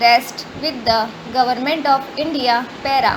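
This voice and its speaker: Over noticeable background noise, a woman speaks at a fairly slow pace in a high pitch with ordinary pitch variation. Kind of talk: shorthand dictation read at 100 words per minute. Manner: slow, even dictation pace with spoken punctuation.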